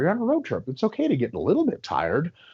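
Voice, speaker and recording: Vocal fry and very wide pitch swings in a man's speech. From Russia. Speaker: sport physiology professor and coach. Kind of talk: podcast interview answer.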